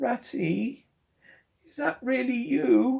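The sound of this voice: This man's voice sits at an extremely high pitch in a put-on character voice.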